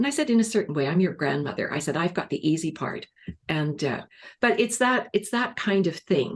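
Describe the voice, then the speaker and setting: A woman's somewhat breathy, medium-pitched voice with very wide pitch swings at a fairly quick pace. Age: 70s. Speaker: cancer survivor and course leader. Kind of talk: interview. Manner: storytelling.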